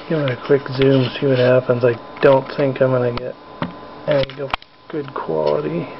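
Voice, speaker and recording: A man at medium pitch, with ordinary pitch variation, a moderate pace, long and frequent pauses, and noticeable background noise. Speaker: hobbyist spider keeper vlogger. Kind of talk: casual live narration. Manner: whispering; hesitant, many fillers. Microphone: cheap camera mic, picks up every sound, loud.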